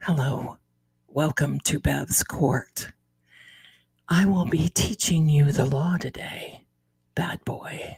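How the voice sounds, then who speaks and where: A breathy, whispered put-on character voice at a very slow pace, with long, frequent pauses. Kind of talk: ASMR whisper.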